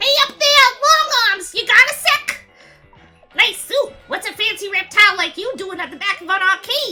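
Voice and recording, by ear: A woman puts on a character voice in a New York accent, her pitch extremely high and swinging very widely. She speaks at a moderate pace with big swings in loudness over faint music in the background. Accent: exaggerated New York.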